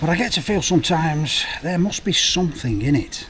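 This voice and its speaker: A man with a Lancashire accent at a moderate pace, with noticeable background noise. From North West England. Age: 50s. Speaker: motorcycle vlogger. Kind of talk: casual talk to camera while riding. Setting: outdoors, on a motorcycle.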